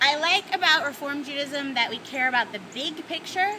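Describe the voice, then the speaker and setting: With noticeable background noise behind her, a woman with an American accent uses a raised, projected voice, high in pitch and lively in intonation. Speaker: rabbi. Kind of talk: casual video message.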